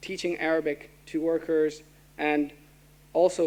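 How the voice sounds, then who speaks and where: A man speaks in a monotone with flat intonation at a fairly high pitch, on a very clean recording with a silent background. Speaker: student council president. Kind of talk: formal speech. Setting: auditorium with audience. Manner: fast.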